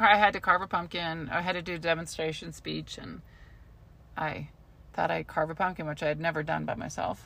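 Fairly quick and with vocal fry, a woman speaks in fairly even intonation. The recording is very clean with a silent background. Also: fairly low pitch for a woman. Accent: American. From US Southwest (Albuquerque). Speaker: podcast co-host. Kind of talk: casual chat.

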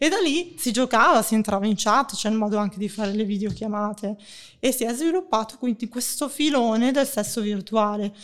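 A woman talks at a fairly quick pace in an ordinary speaking voice. Her pitch is fairly high, with ordinary pitch variation. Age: 40s. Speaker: sex blogger. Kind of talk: casual chat. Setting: online audio room.

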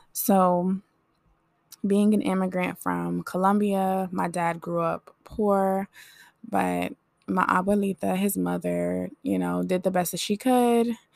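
Recorded in a dry, close sound with no echo, a woman speaks at a very slow pace. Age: 20s. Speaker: podcast host. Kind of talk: personal monologue. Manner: casual, conversational.

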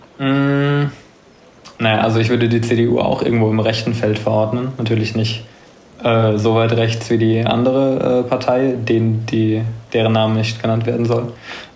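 A man's medium-pitched, monotone voice with flat intonation and very even loudness at a moderate pace, amid audible room echo and noticeable background noise. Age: 20s. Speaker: linguistics student and political content creator. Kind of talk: casual podcast interview.

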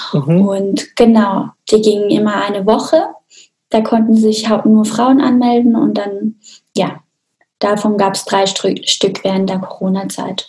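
Ordinary pitch variation marks this woman's medium-pitched voice. She speaks at a very slow pace. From Austria, small mountain village. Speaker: sex therapist. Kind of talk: interview conversation.

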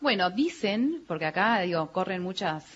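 Somewhat breathy in tone, a woman talks at a fairly slow pace. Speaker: museum director. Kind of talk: radio interview. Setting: live broadcast venue with audience.

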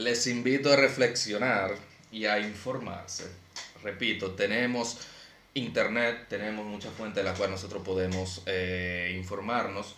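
A man's fairly low voice at a fairly slow pace, fairly even intonation, with noticeable background noise and audible room echo. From Dominican Republic. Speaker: podcast host. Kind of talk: casual chat.

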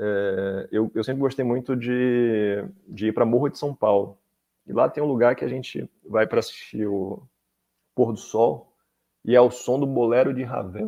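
A man's medium-pitched, ordinary speaking voice, with ordinary pitch variation at a moderate pace. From Salvador, Bahia, Brazil. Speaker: law professor and government attorney. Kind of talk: interview on legal topics.

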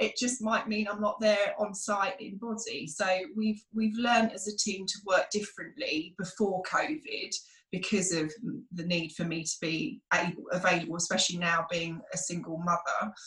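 Speaking with a British accent and lively intonation, a woman talks at a moderate pace and a medium pitch. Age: 40s. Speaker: school principal and former dancer. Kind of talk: casual interview.

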